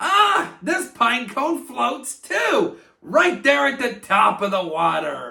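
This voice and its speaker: A man speaks in a cartoonish character voice, raised and projected, with an extremely high pitch and a very slow pace. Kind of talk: kids' educational presentation. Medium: puppet. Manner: upbeat.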